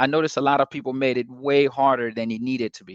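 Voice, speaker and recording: Speaking at a fairly quick pace with a strong non-native accent, a man keeps a relaxed tone and fairly even intonation in a dry, close sound with no echo. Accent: non-native accent, self-described strong. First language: not English. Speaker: sales coach and channel host. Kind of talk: casual talk-to-camera advice. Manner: many filler words, hesitant; relaxed, laid-back.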